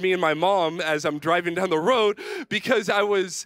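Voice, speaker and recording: A man speaks at a moderate pace with ordinary pitch variation against a quiet background. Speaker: youth pastor. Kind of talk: sermon. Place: stage. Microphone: handheld.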